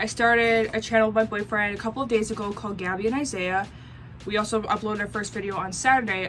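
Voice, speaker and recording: With music in the background, a woman with an American accent talks at a very fast pace in a medium pitch, her intonation fairly even. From US Midwest, Racine, Wisconsin. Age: 20s. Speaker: vlogger. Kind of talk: casual vlog chat.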